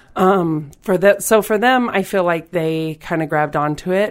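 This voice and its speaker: A woman with an American accent talks at a fairly slow pace in a plain, everyday voice. Her pitch is medium with ordinary pitch variation, and the recording is very clean, with a silent background. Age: 40s. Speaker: volleyball player and coach. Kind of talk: interview.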